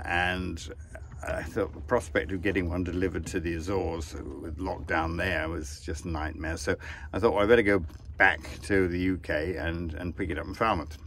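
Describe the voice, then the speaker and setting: With an English accent, a man talks at a moderate pace with ordinary pitch variation, in a dry sound with no echo and light background noise. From England. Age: 70s. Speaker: sailor and author. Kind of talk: casual vlog monologue. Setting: outdoors on a sailboat at sea. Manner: relaxed, chatty. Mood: relaxed, wry. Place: boat. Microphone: phone near.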